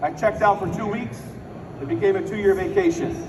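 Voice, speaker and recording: A man talks at a very fast pace in a high pitch. Audible room echo and noticeable background noise surround his voice. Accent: American. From Chicago, US Midwest. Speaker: business speaker. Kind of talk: motivational speech. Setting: stage with audience. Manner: animated.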